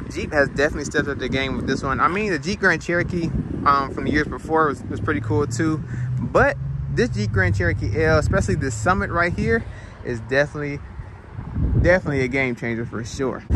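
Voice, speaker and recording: This man talks at a very fast pace. The sound is dry with no echo, and background noise is noticeable. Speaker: car reviewer. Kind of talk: casual car review commentary. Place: street. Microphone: phone near.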